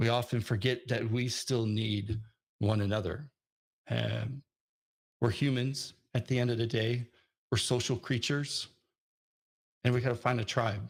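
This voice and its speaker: On a very clean recording with a silent background, a somewhat breathy man at a medium pitch speaks with fairly even intonation, very even loudness and long, frequent pauses. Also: moderate pace. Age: 40s. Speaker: conference speaker, software developer. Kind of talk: conference talk. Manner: hesitant, many fillers.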